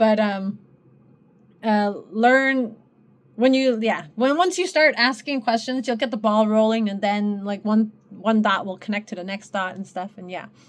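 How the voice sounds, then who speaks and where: On a very clean recording with a silent background, a woman with a non-native accent speaks fairly slowly at a fairly high pitch. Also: ordinary pitch variation. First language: not English. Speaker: spiritual content creator, sociology student. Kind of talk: casual monologue to viewers. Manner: halting, many fillers and restarts.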